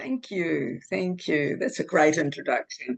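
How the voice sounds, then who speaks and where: A woman with a New Zealand accent and very wide pitch swings. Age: 70s. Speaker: book co-author. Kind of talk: personal testimony in interview. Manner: halting.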